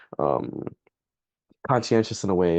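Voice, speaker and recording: Over a quiet background, a man with a Canadian accent talks in a very deep, low pitch with a dark, mellow tone and vocal fry. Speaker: undergraduate student interviewee. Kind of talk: interview. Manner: clear, standard speech; hesitant, many fillers.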